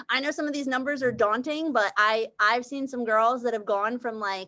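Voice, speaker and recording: Fairly high-pitched, a woman speaks at a fairly quick pace with ordinary pitch variation. Her tone is bright and sharp. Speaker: team leader in direct sales. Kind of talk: team call presentation. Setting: video call. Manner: fast.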